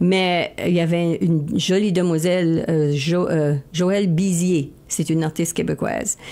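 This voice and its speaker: With a dark, mellow tone, the speaker goes at a fairly slow pace with hardly any pauses. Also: woman, fairly low pitch for a woman. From Acadian New Brunswick, Baie-Sainte-Anne. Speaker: country singer. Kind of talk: radio interview. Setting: radio studio. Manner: casual, animated.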